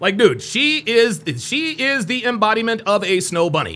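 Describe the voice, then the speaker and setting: Raised and projected, a man's high-pitched voice with an American accent has a bright, sharp tone and very wide pitch swings. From United States. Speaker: dating advice youtuber. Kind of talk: live stream reaction commentary. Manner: confident, articulate diction.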